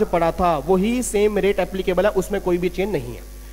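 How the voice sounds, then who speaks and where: A man with fairly even intonation. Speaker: accountancy exam teacher. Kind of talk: lecture.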